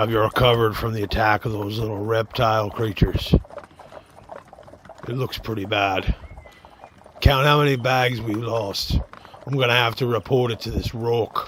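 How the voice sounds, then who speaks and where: A man puts on a raspy character voice at a medium pitch, with fairly even intonation. He keeps a moderate pace, broken by long, frequent pauses. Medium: audio drama. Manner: gruff, folksy, bossy.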